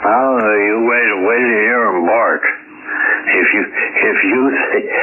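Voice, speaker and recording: A man is speaking. There is noticeable noise behind him. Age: 80s+. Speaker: ham radio operator. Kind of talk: ham radio conversation. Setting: radio transmission.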